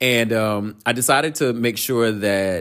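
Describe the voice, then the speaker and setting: A man speaks at a fairly low pitch in an animated tone. The recording is very clean, with a silent background. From North Carolina, Durham. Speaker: podcast host. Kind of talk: casual solo monologue.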